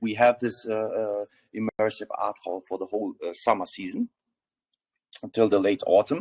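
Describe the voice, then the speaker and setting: A slight German accent at a moderate pace, in a dry, close sound with no echo. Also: man. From Germany. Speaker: crypto project founder. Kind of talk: AMA panel discussion. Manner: halting, many fillers.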